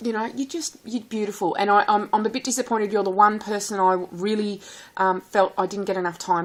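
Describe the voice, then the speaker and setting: Talking at a very fast pace, the woman has a strong rural Australian accent. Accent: strong country Australian. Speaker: vlogger. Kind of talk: casual vlog. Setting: recorded at home, sitting at a table. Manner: warm and animated.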